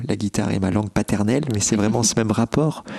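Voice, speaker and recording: In a dry, close sound with no echo, a man with a plain, everyday voice speaks at a fairly low pitch with fairly even intonation. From France, Bordeaux. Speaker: classical guitarist. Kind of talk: interview. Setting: his living room.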